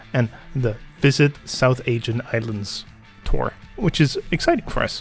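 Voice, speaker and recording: A man's voice with music in the background. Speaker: gaming video commentator. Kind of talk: casual let's-play commentary.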